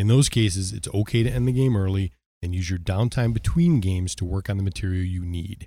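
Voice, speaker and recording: Dark, mellow tone from a fairly low-pitched man at a fairly quick pace, ordinary pitch variation, in a very clean recording with a silent background. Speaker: podcast co-host. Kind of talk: casual chat about tabletop gaming. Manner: joking, teasing.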